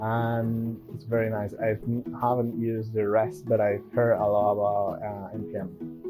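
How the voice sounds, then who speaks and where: A man with a non-native accent speaks at a fairly slow pace, with medium pitch and fairly even intonation. Music plays in the background. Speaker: software developer, coding YouTuber. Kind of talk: casual tech talk to camera.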